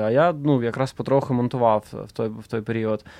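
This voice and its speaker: This man has an unremarkable speaking voice with ordinary pitch variation. He speaks at a moderate pace. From Donetsk, eastern Ukraine. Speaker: film director. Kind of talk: interview.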